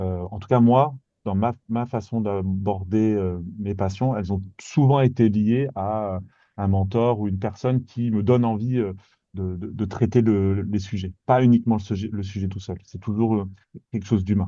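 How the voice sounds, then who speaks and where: A dark, mellow tone with fairly even intonation at a fairly slow pace, over a quiet background. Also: man, fairly low pitch for a man. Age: 40s. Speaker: guest on careers podcast, former medical machine operator. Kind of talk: casual interview chat. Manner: halting, many repetitions and hesitations.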